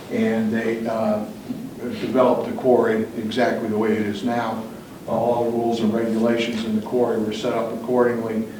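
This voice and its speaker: A man with an American accent speaks at a fairly quick pace and medium pitch in a monotone, flat way, with audible room echo and noticeable background noise. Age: 70s. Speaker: property owner addressing planning commission. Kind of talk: public testimony at town meeting. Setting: town planning commission meeting. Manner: halting, many fillers.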